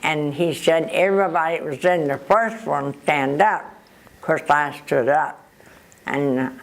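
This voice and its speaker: This woman has a very deep, low-pitched voice. Her pitch varies in an ordinary way. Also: fairly slow pace. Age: 80s+. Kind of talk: interview answer.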